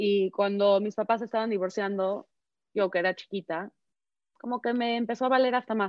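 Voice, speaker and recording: A woman's unremarkable speaking voice at medium pitch, with a moderate pace and fairly even intonation. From Mexico. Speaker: activist speaker. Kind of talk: panel discussion.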